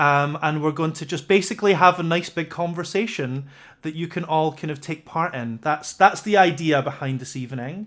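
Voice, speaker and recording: A man with a Scottish accent, fairly high in pitch, at a moderate pace with ordinary pitch variation. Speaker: livestream interview host. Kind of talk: casual interview chat. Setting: livestream video call. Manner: halting, many fillers.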